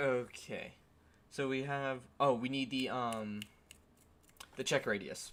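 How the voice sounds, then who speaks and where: The speech is quiet and very slow. Long pauses come often. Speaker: game developer streamer. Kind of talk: live coding stream.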